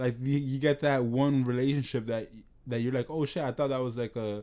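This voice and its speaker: With a New York accent, a man talks at a fairly quick pace in a medium pitch, his tone dark and mellow and his intonation fairly even. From New York, the Bronx. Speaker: podcast co-host. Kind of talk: casual chat.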